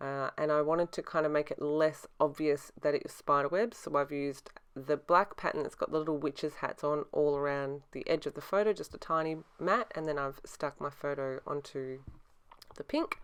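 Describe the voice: A woman with a low pitch and a clear, smooth tone speaks at a moderate pace with fairly even intonation.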